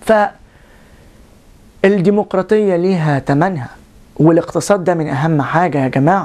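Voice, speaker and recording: Pitched fairly low, a woman speaks at a moderate pace with ordinary pitch variation and long, frequent pauses. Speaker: video blogger. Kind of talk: political commentary monologue. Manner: animated.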